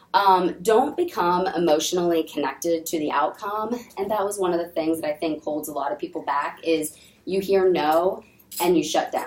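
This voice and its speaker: At a moderate pace, a woman speaks with a fairly low pitch and ordinary pitch variation against noticeable background noise. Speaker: network marketing trainer. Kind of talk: sales training talk. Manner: frequent filler ums.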